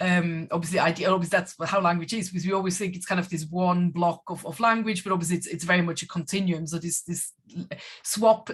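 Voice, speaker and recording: This woman talks at a very fast pace, her voice somewhat breathy. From Switzerland. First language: Swiss German. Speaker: German language teacher. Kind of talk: online panel discussion. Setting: video call.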